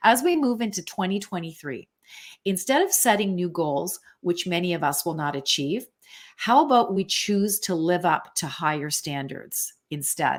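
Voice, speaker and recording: A woman with a plain, everyday voice speaks at medium pitch and a moderate pace, her intonation lively, on a very clean recording with a silent background. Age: 60s. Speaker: podcast host and coach. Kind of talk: casual chat.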